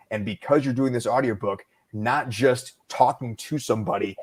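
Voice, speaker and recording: Here a man talks at a medium pitch with fairly even intonation. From US Midwest, Detroit area, Michigan. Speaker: audiobook narrator and marketing business owner. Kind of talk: casual chat. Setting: live online show. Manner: fast, staccato bursts.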